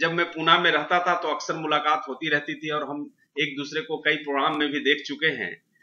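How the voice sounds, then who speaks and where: Speaking at a moderate pace, a man uses fairly even intonation and a fairly high pitch in an ordinary speaking voice. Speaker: talk show host. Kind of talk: talk show introduction.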